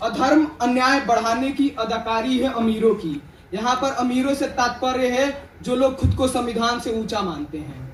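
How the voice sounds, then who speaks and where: An extremely high-pitched man's voice, passionate in tone, with ordinary pitch variation and noticeable background noise. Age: young. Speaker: student poet. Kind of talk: poetry reading. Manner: passionate, fiery.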